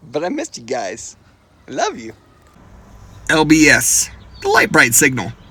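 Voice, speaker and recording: Pausing long and often, a man speaks at a moderate pace while his loudness swings widely. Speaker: Jeep channel host. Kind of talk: casual chat.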